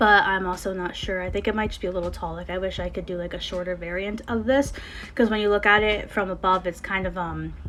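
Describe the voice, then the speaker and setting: There is noticeable background noise as a woman with an American accent talks at a medium pitch. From Connecticut, US. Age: 20s. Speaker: gaming YouTuber. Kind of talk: casual gameplay commentary. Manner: hesitant, many fillers.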